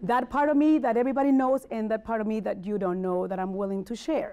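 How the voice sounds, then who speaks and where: A woman speaks very fast in a strong Spanish accent. Her pitch is fairly high and her intonation lively. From Mexico City. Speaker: motivational speaker and life coach. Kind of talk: motivational talk.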